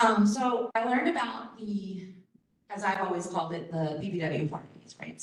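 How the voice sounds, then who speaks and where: Recorded with audible room echo, a woman with an American accent speaks at a moderate pace with ordinary pitch variation. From Baltimore, US Mid-Atlantic. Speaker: conference presenter, college staff member. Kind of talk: conference presentation. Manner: casual, with many fillers.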